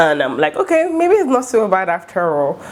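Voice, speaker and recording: A woman speaks in an animated tone with ordinary pitch variation. Noticeable background noise runs underneath. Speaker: student vlogger. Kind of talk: casual vlog talk. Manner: fast.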